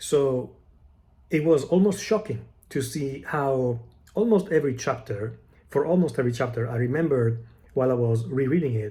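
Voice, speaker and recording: A man's medium-pitched, somewhat breathy voice with a dark, mellow tone, lively intonation, long, frequent pauses and an Italian accent. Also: moderate pace. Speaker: book vlogger. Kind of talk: casual monologue answering tag questions. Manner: halting, many fillers and restarts.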